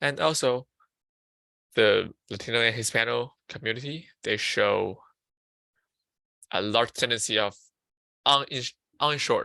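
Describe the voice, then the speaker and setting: Speaking with a Chinese accent, a man uses a medium pitch and a bright, sharp tone. His pace is fairly slow, with long, frequent pauses. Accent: Mandarin Chinese. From China (Beijing). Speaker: student peer counselor presenting on mental health. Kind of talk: lecture. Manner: halting.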